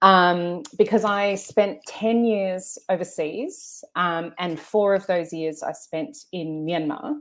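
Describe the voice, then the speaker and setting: A woman with an Australian accent and lively intonation at a very slow pace, with hardly any pauses. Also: medium pitch for a woman. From Australia, Melbourne. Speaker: journalist and author. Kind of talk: interview. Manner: halting, many fillers.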